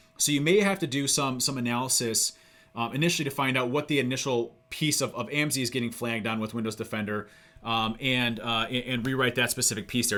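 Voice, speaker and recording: A man's bright, sharp voice at medium pitch, very fast in pace, with ordinary pitch variation. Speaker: cybersecurity CEO and tool developer. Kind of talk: live coding session and Q&A. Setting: online voice chat hangout. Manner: hesitant, many fillers and repeats.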